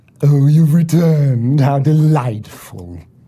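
Using a put-on character voice with a menacing tone, a man speaks at a fairly slow pace in a fairly high pitch. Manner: menacing, sarcastic, falsely welcoming.

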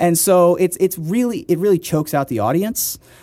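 With an American accent, a man talks in a dark, mellow tone. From Ohio, US Midwest. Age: 30s. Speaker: poker player and comedian. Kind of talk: interview.

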